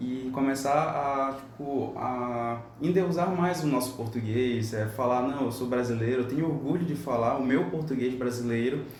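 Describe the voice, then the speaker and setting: With hardly any pauses, the voice moves at a fairly slow pace with ordinary pitch variation, heard through audible room echo and noticeable background noise. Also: man, medium pitch for a man. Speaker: podcast panelist. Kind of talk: panel discussion.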